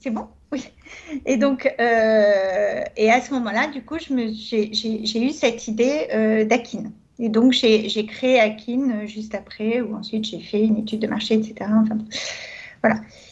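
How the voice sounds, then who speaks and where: A woman's fairly high voice drawls out her words very slowly. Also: fairly even intonation. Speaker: entrepreneur and consultant. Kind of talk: radio interview.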